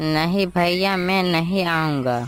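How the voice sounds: A cartoonish character voice sits at a middle pitch.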